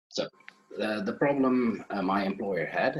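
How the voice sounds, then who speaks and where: A man with a Dutch accent. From Netherlands. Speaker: IT manager and conference speaker. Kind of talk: conference talk. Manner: halting, many fillers.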